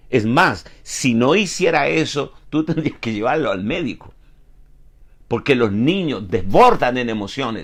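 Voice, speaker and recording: At a fairly slow pace, a man speaks with a medium pitch. His pitch swings very widely. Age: 70s. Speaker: pastor. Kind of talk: sermon. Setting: online broadcast.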